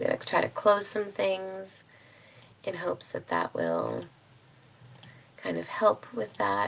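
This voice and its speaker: Noticeable noise fills the background. Through it, a woman speaks. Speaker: life coach. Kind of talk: live-streamed class. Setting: live stream. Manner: casual, many filler ums.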